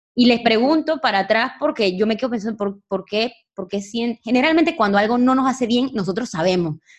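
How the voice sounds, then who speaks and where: A woman with a fairly high pitch and an unremarkable speaking voice, at a fairly quick pace with lively intonation and hardly any pauses. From Panama. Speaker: podcast host. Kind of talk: casual interview.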